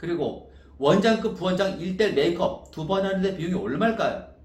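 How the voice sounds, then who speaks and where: A man with an animated tone at a moderate pace, with audible room echo in the recording. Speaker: wedding dress designer and business owner. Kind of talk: sales pitch. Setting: self-recorded video.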